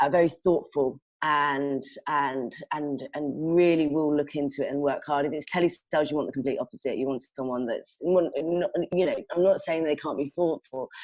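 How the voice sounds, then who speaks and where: A woman with a London accent and a very deep, low voice. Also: fairly even intonation, moderate pace. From London, England. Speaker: sales manager. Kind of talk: casual interview. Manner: halting, many false starts.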